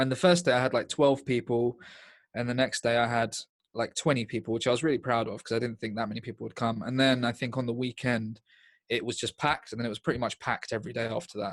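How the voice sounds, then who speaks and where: Over a quiet background, a man with an English accent talks at a very fast pace, his medium pitch held in fairly even intonation. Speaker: stand-up comedian. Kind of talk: interview. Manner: deadpan, sounds sarcastic.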